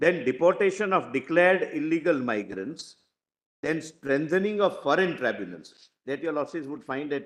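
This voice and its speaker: A man with a fairly high pitch speaks at a moderate pace, his lively intonation edged with vocal fry. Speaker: senior government lawyer arguing in court. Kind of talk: courtroom argument. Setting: courtroom. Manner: halting, many fillers.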